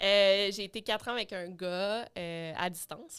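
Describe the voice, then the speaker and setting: A woman speaks at a medium pitch with fairly even intonation, recorded very cleanly against a silent background. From Quebec City, Quebec. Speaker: true crime YouTuber. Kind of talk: casual interview chat. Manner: fast, casual with fillers.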